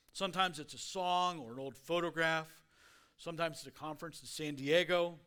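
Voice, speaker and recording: The tone is bright and sharp, delivered at a fairly quick pace with ordinary pitch variation. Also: man. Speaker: guest speaker. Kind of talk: sermon. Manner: slurring words.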